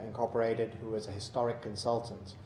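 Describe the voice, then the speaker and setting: A man with an American accent talks at a very fast pace, with audible room echo and noticeable background noise. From Georgia, US South. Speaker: housing developer executive. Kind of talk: public hearing testimony. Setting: city council meeting. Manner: halting, many fillers.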